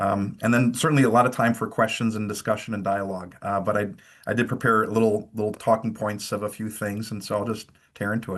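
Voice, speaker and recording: Very fast speech with a Wisconsin accent over a quiet background. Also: man, fairly low pitch for a man. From rural eastern Wisconsin, near Fond du Lac. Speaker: pastor. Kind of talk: webinar talk. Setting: video call from home. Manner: hesitant, many fillers.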